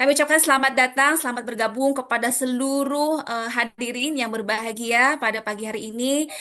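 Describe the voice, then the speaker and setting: A woman speaks at a fairly quick pace in a high pitch, with fairly even intonation and hardly any pauses. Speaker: event moderator. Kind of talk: formal event opening speech. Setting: video call. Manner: formal.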